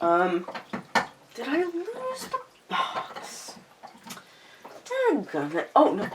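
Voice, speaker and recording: A woman speaks at a very slow pace with an American accent. Noticeable background noise can be heard. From Louisiana, US South. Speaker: tarot and oracle deck YouTuber. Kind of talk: casual vlog chat. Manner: chatty, many fillers and restarts.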